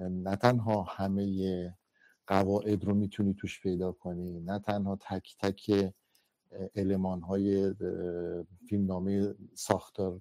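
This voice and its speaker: Monotone and flat, a dark, mellow voice moves at a very slow pace with long, frequent pauses. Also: man, fairly low pitch for a man. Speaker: film critic panelist. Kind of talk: film analysis discussion. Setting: Clubhouse audio room.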